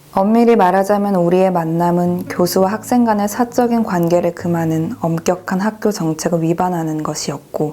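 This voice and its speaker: Music plays in the background as a woman with a medium pitch and ordinary pitch variation speaks at a moderate pace. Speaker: book reader / narrator. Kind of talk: soothing audiobook reading for relaxation / sleep.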